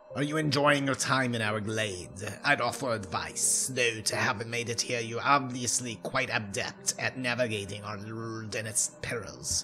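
A man's put-on character voice at a medium pitch, moderate pace and hardly any pauses, over clear background noise. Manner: pompous, bad character voice.

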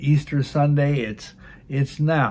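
Speaking at a fairly slow pace, a man sounds somewhat breathy. His delivery stays unhurried. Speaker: religious teacher. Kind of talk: sermon-like teaching. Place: home room. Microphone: phone near.

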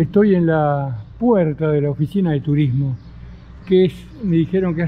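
A man at a fairly slow pace with ordinary pitch variation, amid noticeable background noise. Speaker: travel vlogger. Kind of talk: casual vlog chat. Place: street. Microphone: phone near.

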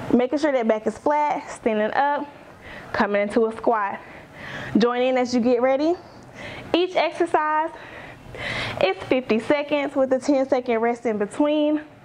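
A woman speaks with a high pitch and ordinary pitch variation at a moderate pace. Long, frequent pauses break up her speech over light background noise. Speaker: fitness instructor. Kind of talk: workout instruction. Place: home room.

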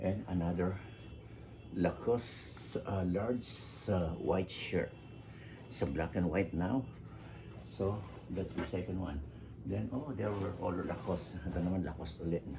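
Against noticeable background noise and audible room echo, a man with a very deep, low voice speaks at a fairly slow pace, using lively intonation and long, frequent pauses. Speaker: vlogger. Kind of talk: unboxing video. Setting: at home. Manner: halting.

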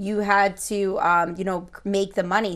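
A woman with fairly even intonation over a quiet background. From Connecticut, Lower Naugatuck Valley; Connecticut. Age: 30s. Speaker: school guidance counselor; interview guest. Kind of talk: interview. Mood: warm, reflective. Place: studio.

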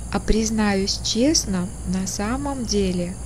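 A woman is heard talking over light background noise. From Russia, St. Petersburg. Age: 60s. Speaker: artist and craftswoman. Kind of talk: casual talk to camera. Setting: outdoors. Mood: self-ironic, light.

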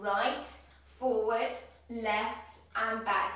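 A woman speaks with strong room echo around her voice. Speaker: fitness instructor. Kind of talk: exercise class instruction. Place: kitchen. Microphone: camera far.

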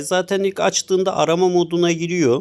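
A man with a high voice talks at a moderate pace on a very clean recording with a silent background. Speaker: motorcycle gear reviewer. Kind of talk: product review.

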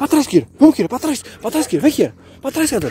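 This man's voice is extremely high-pitched and loud. The sound is dry with no echo, over light background noise. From Minas Gerais, Brazil. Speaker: dog breeder and kennel owner. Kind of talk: casual vlog with dog training. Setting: outdoors. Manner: animated; loud commands to dog. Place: open country. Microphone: phone near.

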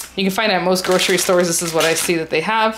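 Clear background noise surrounds speech delivered very fast. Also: woman. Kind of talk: tutorial. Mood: cheerful, chatty. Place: kitchen.

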